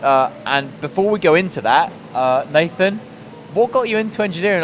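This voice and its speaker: A high-pitched man with very wide pitch swings, amid noticeable background noise. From northern England, Rotherham, Yorkshire. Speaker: podcast host. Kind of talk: interview. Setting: factory floor.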